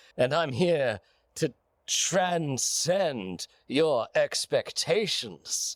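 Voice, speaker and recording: Put-on character voice from a man, fairly high in pitch and very slow, on a very clean recording with a silent background. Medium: audio drama. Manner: smug, theatrical.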